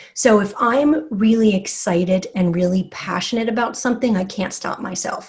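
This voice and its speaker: A woman's fairly high, animated voice over noticeable background noise. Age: 40s. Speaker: magazine content director. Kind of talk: interview.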